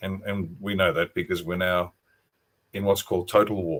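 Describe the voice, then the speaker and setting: Over a silent background in a very clean recording, a man with an Australian accent speaks in a very deep, low voice and a flat monotone. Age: 60s. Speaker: retired army officer and author. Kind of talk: interview on a livestream.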